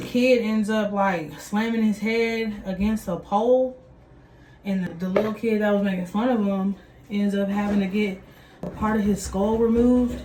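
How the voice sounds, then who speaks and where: A woman's medium-pitched voice in a Texas accent, fairly even in intonation and moderate in pace, with noticeable background noise and audible room echo. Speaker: vlogger and parent. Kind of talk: casual vlog chat. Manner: conversational, filler-heavy.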